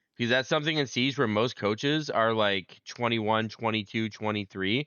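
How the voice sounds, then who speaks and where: A man talks at a moderate pace with a medium pitch and ordinary pitch variation. His loudness stays very even. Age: 30s. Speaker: esports coach. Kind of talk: casual chat. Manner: loud, assertive.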